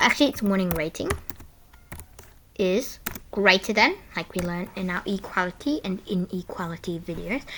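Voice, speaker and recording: Speaking quietly at a moderate pace, a woman uses a medium pitch and ordinary pitch variation, with long, frequent pauses. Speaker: coding tutorial youtuber. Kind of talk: tutorial. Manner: halting.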